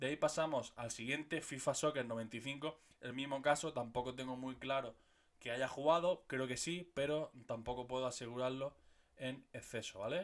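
A man with a Murcian accent speaks at a moderate pace, his intonation fairly even, over a quiet background. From Murcia, Spain; Spain. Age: 30s. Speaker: gaming youtuber. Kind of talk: casual video monologue. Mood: nostalgic, joking. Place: home room. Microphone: studio mic.

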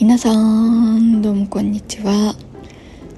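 Music plays in the background as a woman speaks. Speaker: vlogger. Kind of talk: casual vlog chat. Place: home room. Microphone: phone near.

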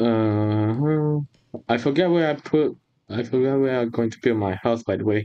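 Speaking at a moderate pace and medium pitch, a man uses an ordinary speaking voice with ordinary pitch variation. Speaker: gaming YouTuber. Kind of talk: casual gameplay chat. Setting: voice chat online.

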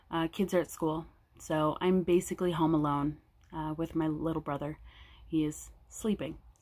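In an American accent, a woman with a very deep, low voice speaks at a moderate pace in a flat monotone. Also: very clean recording, silent background. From California. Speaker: crafting vlogger. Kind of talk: casual vlog monologue. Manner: hesitant, frequent um fillers.

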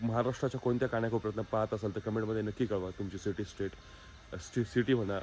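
A man's fairly low-pitched, fairly evenly intoned voice, a normal speaking voice. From Maharashtra, Alandi near Pune. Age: 20s. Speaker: dairy farmer and vlogger. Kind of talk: motivational vlog.

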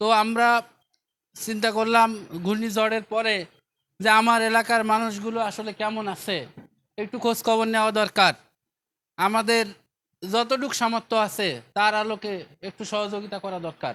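A man's raised, projected voice, high-pitched and monotone, with a bright, sharp tone on a very clean recording over a silent background. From Bangladesh, Bagerhat. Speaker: charity foundation representative. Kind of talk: public address at relief event.

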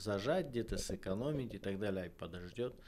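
The intonation is lively as the man talks. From Kazakhstan. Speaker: political scientist; guest. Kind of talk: interview. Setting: studio. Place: studio. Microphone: studio mic.

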